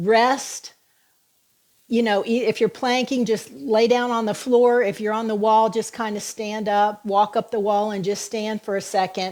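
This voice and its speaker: At a fairly slow pace, a woman talks in a fairly high pitch with a plain, everyday voice. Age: 60s. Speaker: fitness coach. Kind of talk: live-stream workout coaching. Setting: live video stream. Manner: upbeat, encouraging.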